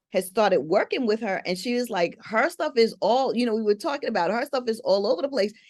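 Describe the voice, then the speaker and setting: A woman talks at a fairly quick pace in a normal speaking voice. Her fairly high pitch carries lively intonation. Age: 60s. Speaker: podcast host. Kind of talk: casual chat.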